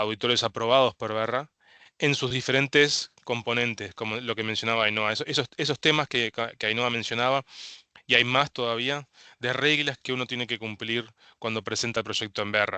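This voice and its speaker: A man with a bright, sharp tone speaks at a medium pitch and a moderate pace with fairly even intonation. The background is quiet, and the sound is dry and close with no echo. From Uruguay. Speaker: carbon credit consultant. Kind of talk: webinar presentation. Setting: online webinar. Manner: halting, many fillers.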